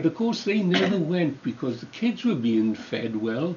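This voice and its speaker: A man with a Welsh accent at a fairly slow pace, with very wide pitch swings and light background noise. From South Wales valleys. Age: 80s+. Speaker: retired trade unionist. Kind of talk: oral history interview. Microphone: camera far.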